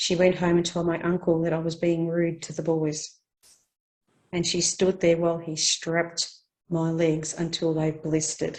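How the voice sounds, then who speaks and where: A woman speaks with an Australian accent at a moderate pace. Her pitch is fairly low. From Australia, Victoria. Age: 60s. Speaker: care leaver interviewee. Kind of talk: life story interview.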